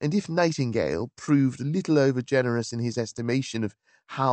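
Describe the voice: Plain reading aloud with ordinary pitch variation over a quiet background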